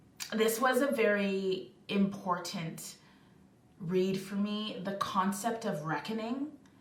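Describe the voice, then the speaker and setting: The speaker goes very slowly with ordinary pitch variation, and the recording has audible room echo and noticeable background noise. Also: woman. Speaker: book reviewer. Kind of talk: book review vlog.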